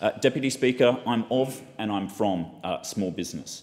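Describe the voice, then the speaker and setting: A man with an Australian accent and ordinary pitch variation. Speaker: politician. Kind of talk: parliamentary speech. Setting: parliament chamber. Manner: formal. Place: hall. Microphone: podium.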